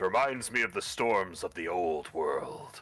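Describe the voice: A man's put-on character voice at medium pitch. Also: fairly slow pace.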